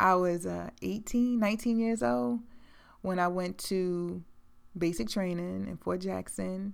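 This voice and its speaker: A woman with an American accent talks at a fairly slow pace and fairly low pitch. Her intonation is lively, and the recording is very clean with a silent background. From US South, Beaufort, South Carolina (Gullah Geechee Low Country). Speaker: podcast host. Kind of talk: personal storytelling monologue. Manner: animated.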